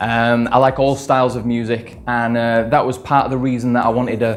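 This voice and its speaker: A man at a medium pitch keeps a moderate pace while noticeable background noise carries on. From northern England, Leeds. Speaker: electronic music producer and singer. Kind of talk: interview. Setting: studio. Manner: hesitant, many fillers.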